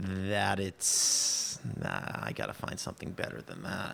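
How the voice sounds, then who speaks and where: A man speaks in a very deep, low voice at a very slow pace. Noticeable background noise runs underneath. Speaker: entrepreneur. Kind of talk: interview. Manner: halting, repeats words.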